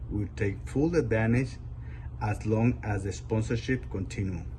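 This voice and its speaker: A man's dark, mellow voice with vocal fry and a Spanish accent, fairly low in pitch with very wide pitch swings, at a moderate pace with audible room echo. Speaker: adult English learner. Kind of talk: prepared speech read aloud.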